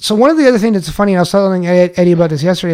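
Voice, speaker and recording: With an American accent, a man speaks at a high pitch using lively intonation. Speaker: podcast host. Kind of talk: casual chat. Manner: animated.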